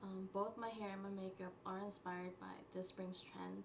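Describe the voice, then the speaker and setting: Monotone, flat speech from a woman at a moderate pace, with noticeable background noise. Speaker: beauty vlogger. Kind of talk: makeup tutorial talk to camera. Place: home room. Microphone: camera far.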